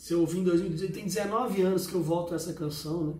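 A man talks at a fairly slow pace. Room echo can be heard around him. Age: 40s. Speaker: music reviewer. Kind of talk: casual spoken review. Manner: halting, many filler words.

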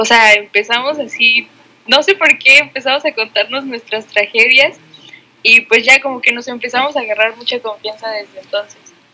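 A woman speaks at a high pitch and a moderate pace. Noticeable background noise runs beneath her voice. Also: ordinary pitch variation. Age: 20s. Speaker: podcast co-host, architecture student. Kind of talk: casual chat. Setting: recording from home.

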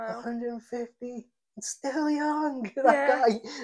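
The female-sounding voice is a put-on character voice, high in pitch. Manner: relaxed, easygoing.

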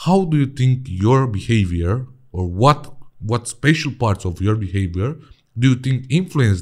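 A man with a Romanian accent, medium-pitched and somewhat breathy, at a moderate pace with lively intonation, on a very clean recording with a silent background. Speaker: podcast host. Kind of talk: interview.

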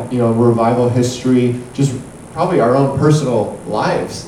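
Delivered at a moderate pace with fairly even intonation, the speech carries noticeable background noise and audible room echo. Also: man. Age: 20s. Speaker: pastor. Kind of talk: sermon.

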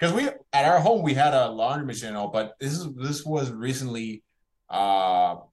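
This man speaks in a Spanish accent. He keeps a moderate pace. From Puerto Rico. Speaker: animated series creator. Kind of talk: casual interview chat.

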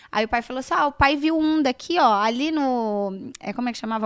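Over a silent background in a very clean recording, a woman with a high pitch talks at a fairly quick pace with lively intonation. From Brazil, São José do Rio Preto (interior São Paulo). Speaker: entrepreneur, dance school founder. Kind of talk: casual interview.

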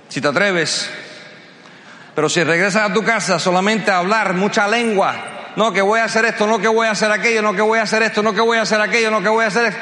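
Raised and projected, a man's high-pitched voice comes at a very fast pace with an animated tone and very even loudness over noticeable background noise. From US, Cuban-American family. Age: 50s. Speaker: motivational speaker. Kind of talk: motivational speech. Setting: stage with audience.

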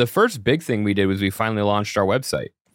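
A man speaks at a fairly quick pace in a plain, everyday voice, his pitch fairly low. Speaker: podcast host and studio owner. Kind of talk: casual chat. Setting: studio.

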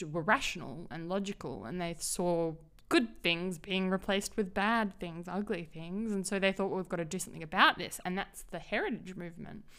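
A woman with an Australian accent at a moderate pace, hardly any pauses, in a very clean recording with a silent background. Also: medium pitch for a woman, ordinary pitch variation. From Australia, Perth. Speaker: business consultant and urbanism advocate. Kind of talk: interview. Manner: hesitant, many fillers.

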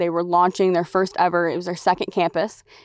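On a very clean recording with a silent background, a woman with an American accent speaks at a medium pitch. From US Midwest, rural Indiana. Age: 20s. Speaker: worship pastor and podcast host. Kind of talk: casual monologue. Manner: chatty.

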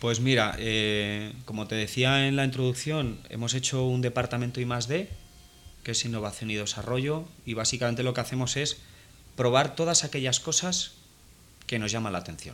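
A man speaks in an unremarkable speaking voice. His pace is moderate. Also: medium pitch for a man, ordinary pitch variation. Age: 30s. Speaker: photo retoucher, studio owner. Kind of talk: interview. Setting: guest's studio office.

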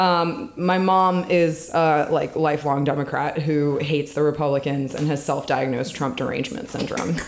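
Over noticeable background noise and audible room echo, a woman with an American accent speaks at a very deep, low pitch and moderate pace, with ordinary pitch variation, very even loudness and hardly any pauses. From Washington DC area (Northern Virginia). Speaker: political organizer, former baker. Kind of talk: casual chat.

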